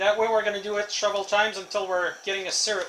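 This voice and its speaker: A man speaks with a French Canadian accent at a high pitch. Noticeable background noise runs underneath. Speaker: deer hunter. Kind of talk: casual talk to camera.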